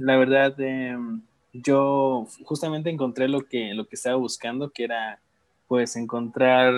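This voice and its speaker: A man talks at a fairly slow pace in an ordinary speaking voice. His pitch sits in the medium range. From Mexico, Guerrero (Tixtla). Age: 20s. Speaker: former volunteer abroad. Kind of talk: casual interview.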